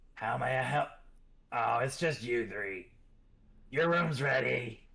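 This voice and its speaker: A man puts on a raspy character voice at medium pitch. His pace is fairly slow. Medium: actual play. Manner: folksy, familiar.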